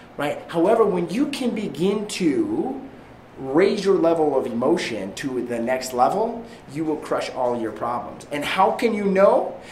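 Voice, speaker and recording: Over noticeable background noise and audible room echo, a man with a high pitch speaks at a fairly slow pace in an animated tone, his pitch swinging very widely. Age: 30s. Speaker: real estate agent and sales coach. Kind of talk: motivational training talk. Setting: live stream to an online group.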